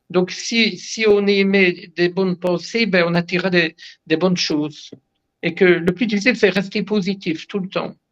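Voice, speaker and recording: A man's high-pitched voice at a fairly slow pace. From Belgium, Liège. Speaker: herbalist and naturopath. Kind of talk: interview. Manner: animated; halting.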